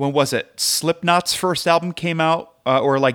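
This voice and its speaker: Very clean recording with a silent background: a man with an American accent, ordinary in pitch variation. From US Midwest. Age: 30s. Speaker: podcaster guest. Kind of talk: casual chat.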